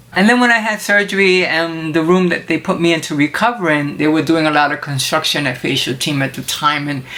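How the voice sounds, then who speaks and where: A woman's very deep, low-pitched voice comes through noticeable background noise. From Puerto Rico. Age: 60s. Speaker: cooking show host. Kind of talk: personal testimony. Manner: casual.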